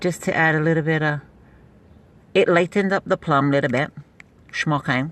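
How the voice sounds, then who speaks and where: Pausing long and often, a woman speaks in a very deep, low pitch. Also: fairly even intonation, very even loudness. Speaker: beauty product seller livestreamer. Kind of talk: casual live stream chat. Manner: fast.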